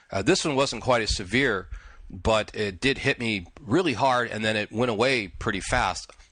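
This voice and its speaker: Against a quiet background, a man's bright, sharp tone moves with ordinary pitch variation. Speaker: podcast host. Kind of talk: solo podcast talk. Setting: early morning recording.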